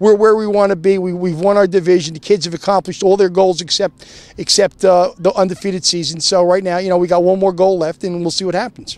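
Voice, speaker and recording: The delivery is very fast and monotone, with flat intonation and hardly any pauses. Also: man, high pitch for a man. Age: 60s. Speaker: high school football head coach. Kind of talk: post-game interview. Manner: halting, repetitive.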